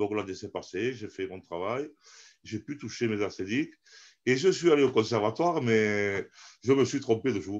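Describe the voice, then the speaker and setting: Here a man speaks at a medium pitch and a fairly slow pace. The background is quiet. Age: 50s. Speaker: amateur theatre actor. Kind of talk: interview. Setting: live stream. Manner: animated.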